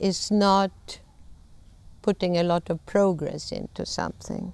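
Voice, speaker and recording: A very slow pace, in a Swedish accent. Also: woman. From Sweden. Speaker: conflict management trainer. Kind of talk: lecture.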